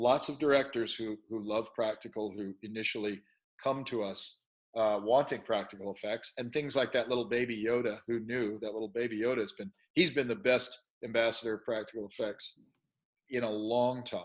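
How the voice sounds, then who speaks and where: A man at medium pitch, fairly even in intonation and fairly quick in pace. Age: 60s. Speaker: special effects studio co-founder. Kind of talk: interview. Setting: podcast interview. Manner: halting, many false starts.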